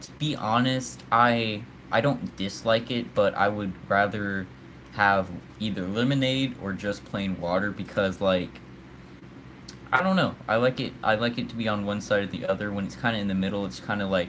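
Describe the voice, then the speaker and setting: A man with a fairly low pitch talks at a moderate pace with ordinary pitch variation. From United States. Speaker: live streamer. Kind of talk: casual live stream chat. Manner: casual, hesitant with fillers and repeats.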